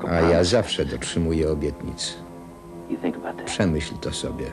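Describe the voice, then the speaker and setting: A man with a very deep, low pitch speaks at a fairly slow pace over noticeable background noise. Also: ordinary pitch variation. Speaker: film voice-over reader. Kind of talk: film voice-over translation. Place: booth.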